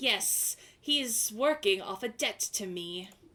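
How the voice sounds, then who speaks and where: Using a put-on character voice, a woman speaks with a hissing sound at a fairly high pitch and a fairly slow pace. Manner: sly.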